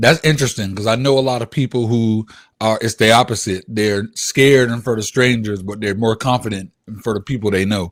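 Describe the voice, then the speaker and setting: A plain, everyday voice moves at a fairly quick pace. The recording is very clean with a silent background. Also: man, medium pitch for a man. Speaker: podcast host. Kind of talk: casual podcast interview hosting. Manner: upbeat.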